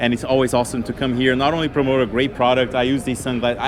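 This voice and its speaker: Against noticeable background noise, a man speaks with a non-native accent and fairly even intonation. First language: not English. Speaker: pilot and aviation social media creator. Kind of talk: interview. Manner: halting with fillers.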